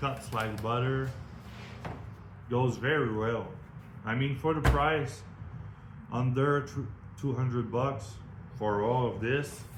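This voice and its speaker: At a very slow pace, a man speaks at a medium pitch with fairly even intonation and audible room echo. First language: French. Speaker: product reviewer, metal fabricator. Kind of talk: product review. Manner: casual, halting non-native phrasing.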